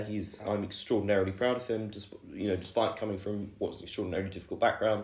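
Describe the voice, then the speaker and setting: With audible room echo, a man speaks in a fairly low pitch, his tone dark, mellow and somewhat breathy. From southern England, Oxfordshire (Woodstock). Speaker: university student. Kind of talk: podcast interview. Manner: hesitant, many fillers.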